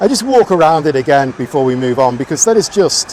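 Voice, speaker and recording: Over noticeable background noise, a man talks at a moderate pace. His pitch sits fairly high and makes very wide swings. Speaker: car vlogger. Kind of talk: walkaround commentary. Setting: outdoor car meet. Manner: animated; raised voice over music.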